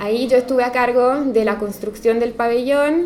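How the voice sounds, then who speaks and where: A woman with an Italian accent speaks at a high pitch with ordinary pitch variation. Audible room echo and noticeable background noise surround her. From Italy. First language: Italian (speaking Spanish). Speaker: architect. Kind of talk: lecture.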